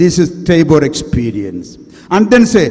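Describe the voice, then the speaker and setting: A man keeps a moderate pace while audible room echo and noticeable background noise fill the recording. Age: 60s. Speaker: priest. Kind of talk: sermon.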